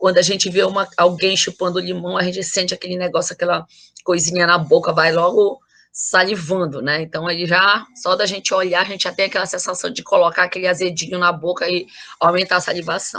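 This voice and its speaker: At a fairly quick pace, a woman of medium pitch speaks in a bright, sharp tone with flat, monotone intonation. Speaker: university lecturer. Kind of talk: lecture.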